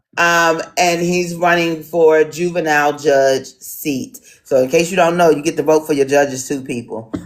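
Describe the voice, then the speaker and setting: A woman speaks in an American accent at a moderate pace. Her pitch is very deep and low, with ordinary variation. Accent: city. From Washington DC. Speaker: town hall moderator. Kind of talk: online town hall moderation. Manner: hesitant, many fillers.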